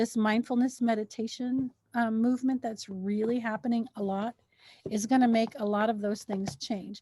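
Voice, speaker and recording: The tone is dark and mellow, somewhat breathy, at a moderate pace with fairly even intonation. The sound is dry and close, with no echo. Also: woman, fairly high pitch for a woman. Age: 60s. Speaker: mental health podcast co-host. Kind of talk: casual chat.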